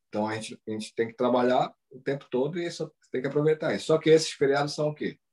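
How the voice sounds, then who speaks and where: With big swings in loudness and ordinary pitch variation, a man talks at a very fast pace in a dry, close sound with no echo. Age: 40s. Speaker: Brazilian living in Japan, travel content creator. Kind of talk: casual interview. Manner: hesitant, repeats words.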